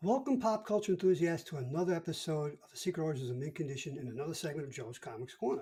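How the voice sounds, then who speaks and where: A man with a Brooklyn accent talks at a very fast pace in a fairly high pitch, his dark, mellow tone carried by lively intonation and big swings in loudness. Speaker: podcast co-host. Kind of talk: casual chat.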